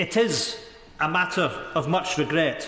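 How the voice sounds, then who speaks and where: Heard over noticeable background noise, a high-pitched man speaks with a Scottish accent. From Scotland (Isle of Skye). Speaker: member of parliament. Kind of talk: formal parliamentary speech in the House of Commons.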